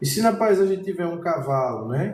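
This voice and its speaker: A man with a high pitch speaks at a fairly slow pace with lively intonation. Both room echo and background noise are noticeable. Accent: Pernambuco. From Pernambuco, northeast Brazil. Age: 40s. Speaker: painting teacher. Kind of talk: live-streamed painting lesson. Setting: art studio, live stream. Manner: casual, conversational.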